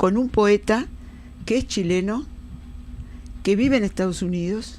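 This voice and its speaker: A woman speaks at a medium pitch and a fairly slow pace. Her intonation is lively. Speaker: radio host. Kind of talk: radio interview questions.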